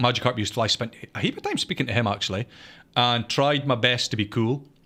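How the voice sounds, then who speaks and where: This man's voice has a bright, sharp tone and a medium pitch with ordinary variation, in a Scottish accent. The recording is very clean, with a silent background. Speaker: podcast co-host and gaming content creator. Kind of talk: casual chat. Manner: halting, many false starts.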